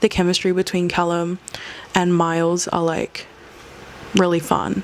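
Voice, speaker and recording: There is noticeable background noise as a woman with a fairly low pitch speaks at a fairly quick pace. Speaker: film review vlogger. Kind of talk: casual vlog review. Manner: fast; animated.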